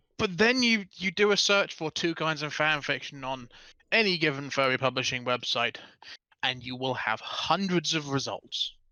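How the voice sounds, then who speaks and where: A speaker with a British accent talks at a moderate pace. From Britain. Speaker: fanfiction writer. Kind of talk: casual chat.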